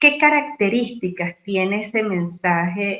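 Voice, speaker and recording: A woman's bright, sharp tone at a medium pitch and a fairly slow pace. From Venezuela. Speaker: university lecturer and radio announcer. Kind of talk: conference talk.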